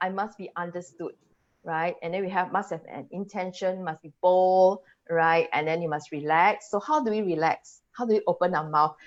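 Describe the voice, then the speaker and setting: With a Singaporean accent, a woman speaks at a moderate pace and medium pitch, showing ordinary pitch variation and big swings in loudness. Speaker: English language coach. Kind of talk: webinar presentation. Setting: live video webinar.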